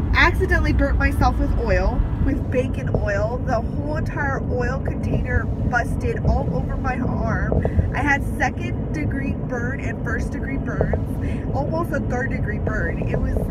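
A woman speaks at a fairly slow pace. The sound is dry with no echo, though loud background noise is present. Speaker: college student vlogger. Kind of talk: casual vlog chat. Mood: animated storytelling. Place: car. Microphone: phone near.

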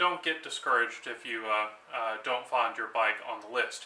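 A man speaks at a moderate pace. Audible room echo is present. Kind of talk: tutorial. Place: workshop.

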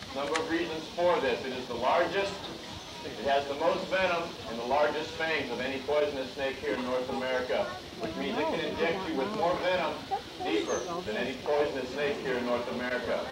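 A man talks at a fairly quick pace with ordinary pitch variation. Loud background noise runs under his voice. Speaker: presenter. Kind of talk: educational show talk. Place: stage.

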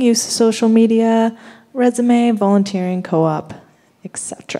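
Against a quiet background, a woman with an ordinary speaking voice talks at a fairly slow pace and a fairly high pitch. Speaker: student panel moderator. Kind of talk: panel moderation. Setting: stage with audience. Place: hall. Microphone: podium.

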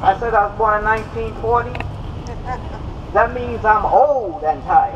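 A woman's moderately paced speech with ordinary pitch variation, over noticeable background noise. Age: 70s. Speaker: activist, rally speaker. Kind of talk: rally speech. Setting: outdoors, recorded at a rally. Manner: earnest, forceful. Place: open country. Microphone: camera far.

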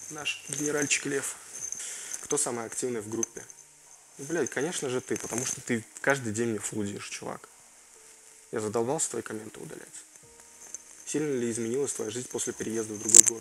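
Fairly even intonation and long, frequent pauses run through the speech against noticeable background noise. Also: man, moderate pace. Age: 20s. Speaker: gaming YouTuber. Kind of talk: Q&A video, casual chat to viewers. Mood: joking, relaxed, some swearing.

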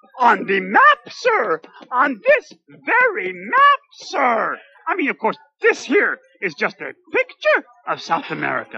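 The cartoonish character voice moves along at a fairly slow pace. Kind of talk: comic puppet sketch. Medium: puppet show. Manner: polite, earnest, dreamy, wordy.

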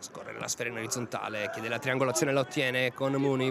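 A man is talking. Behind his voice there is noticeable background noise. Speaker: football commentator. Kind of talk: live sports commentary.

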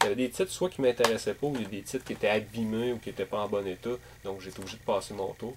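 With a Quebec accent, a man speaks at a very fast pace against noticeable background noise. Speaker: gaming YouTuber and game collector. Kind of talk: casual video monologue. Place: home room. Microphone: webcam.

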